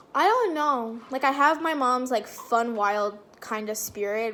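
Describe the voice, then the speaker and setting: Noticeable background noise sits behind a woman speaking at a fairly high pitch and a fairly slow pace. Her tone is animated, and her intonation is lively. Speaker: vlogger. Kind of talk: casual Q&A vlog. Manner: loud.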